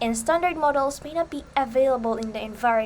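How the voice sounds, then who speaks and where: A woman speaks with a Visayan Filipino accent. Her pitch is high, with ordinary pitch variation. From Philippines, Bisaya-speaking region. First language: Bisaya. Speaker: student presenter. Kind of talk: lecture. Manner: halting.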